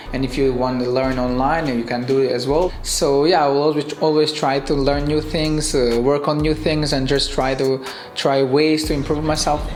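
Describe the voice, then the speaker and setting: A man with a fairly high pitch talks at a moderate pace with hardly any pauses, very even loudness and a monotone, flat intonation, while audible room echo and noticeable background noise surround him. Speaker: professional footballer. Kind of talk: interview. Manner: halting.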